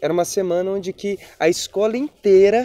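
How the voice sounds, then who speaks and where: The voice has a dark, mellow tone and moves at a moderate pace. The sound is dry and close, with no echo. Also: man. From Brazil, Espírito Santo (rural Linhares). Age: 20s. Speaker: poet and actor. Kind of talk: documentary interview, personal life story. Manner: casual, conversational.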